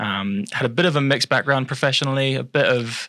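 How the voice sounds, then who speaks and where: A bright, sharp tone in an English accent at a fairly quick pace. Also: man. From New Zealand (Palmerston North), born in England. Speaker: financial adviser. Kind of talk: casual podcast interview.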